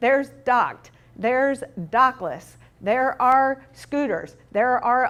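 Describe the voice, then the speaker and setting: A woman with an American accent speaks very slowly at a high pitch. The recording is very clean, with a silent background. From US South. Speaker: urban planning consultant. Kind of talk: conference presentation.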